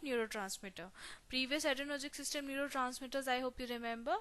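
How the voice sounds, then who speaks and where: A woman projects a raised voice that is high-pitched with a bright, sharp tone. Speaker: pharmacy teacher. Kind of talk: lecture.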